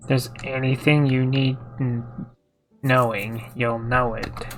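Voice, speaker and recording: Over faint music in the background, a man uses a put-on character voice at medium pitch, with monotone, flat intonation and a fairly slow pace. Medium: solo performance. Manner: grumbling, exasperated.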